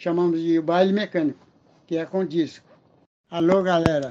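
A man speaks at a moderate pace with a high pitch and a dark, mellow tone. His intonation is monotone and flat. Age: 80s+. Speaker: DJ.

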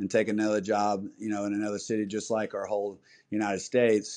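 A dark, mellow tone with an American accent at a moderate pace. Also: man. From US South, small town. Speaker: tennis director and coach. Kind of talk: interview. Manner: halting, many fillers.

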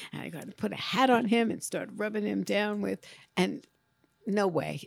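A woman with a New York accent at a fairly quick pace.

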